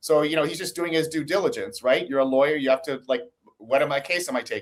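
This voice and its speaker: A man with an American accent, fairly high pitch, ordinary pitch variation and a very fast pace. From United States. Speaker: investigative journalist. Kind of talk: interview.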